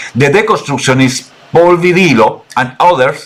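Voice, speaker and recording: With a Chilean accent, the speaker goes at a moderate pace with ordinary pitch variation over noticeable background noise. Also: man. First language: Spanish. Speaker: political researcher. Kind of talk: interview presentation. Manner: halting.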